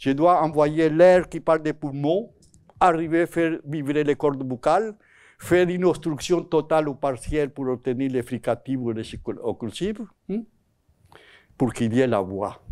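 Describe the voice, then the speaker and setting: This man's fairly high voice has lively intonation, a fairly slow pace, and long, frequent pauses. The recording is very clean, over a silent background. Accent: Spanish. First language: Spanish (speaking French). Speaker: psycholinguist giving a talk. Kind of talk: lecture. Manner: halting, with self-corrections.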